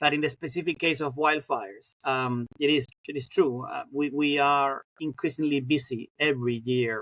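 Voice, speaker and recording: In a flat monotone, a man talks at a medium pitch. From Spain (Madrid). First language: Spanish. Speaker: professor of fire science. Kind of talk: interview. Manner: halting, many repetitions and fillers.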